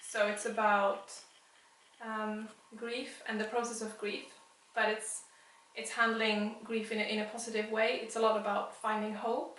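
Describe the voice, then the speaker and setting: A woman's fairly high voice, flat and monotone at a moderate pace, with long, frequent pauses, audible room echo and noticeable background noise. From Sweden (Västerås). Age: 30s. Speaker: illustrator. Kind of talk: interview.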